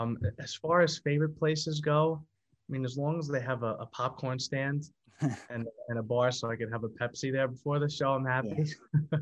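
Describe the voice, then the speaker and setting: Speaking at a fairly quick pace with an American accent, this is an unremarkable speaking voice with fairly even intonation. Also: man, medium pitch for a man. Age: 20s. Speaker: singer. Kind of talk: casual chat.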